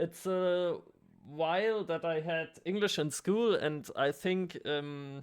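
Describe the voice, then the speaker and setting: On a very clean recording with a silent background, the speaker has a German accent. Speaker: artist vlogger, trainee kindergarten teacher. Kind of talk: casual vlog. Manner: halting, many fillers.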